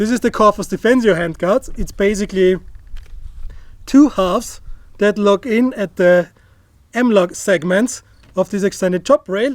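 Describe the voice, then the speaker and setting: Taking long, frequent pauses, a man speaks at a high pitch in a dry sound with no echo against a quiet background. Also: ordinary pitch variation, moderate pace. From Austria. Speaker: firearms YouTuber; firearms reviewer. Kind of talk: gear review tutorial. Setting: outdoor shooting range. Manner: casual, joking. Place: open country. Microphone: lapel.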